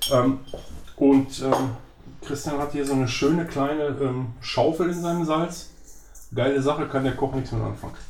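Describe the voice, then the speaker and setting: A man's fairly high-pitched voice at a moderate pace, monotone and flat, with long, frequent pauses, audible room echo and noticeable background noise. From Germany, northern Hesse. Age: 50s. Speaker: professional chef. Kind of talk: casual cooking chat. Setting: home kitchen.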